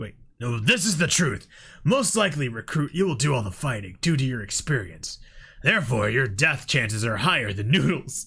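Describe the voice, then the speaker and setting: Very wide pitch swings mark this put-on character voice. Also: man. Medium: solo performance. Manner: curt, authoritative.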